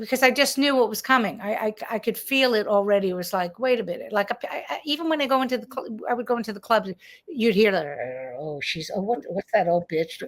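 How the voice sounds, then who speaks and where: A woman's fairly high voice, fairly quick pace and lively intonation. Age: 60s. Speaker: comedian. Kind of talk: casual chat. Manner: halting.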